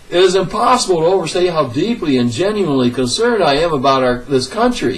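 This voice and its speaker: Amid noticeable background noise and audible room echo, a man with an American accent races at a very fast pace, his high pitch swinging very widely. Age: 60s. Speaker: political commentator. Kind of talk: political rant. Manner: animated.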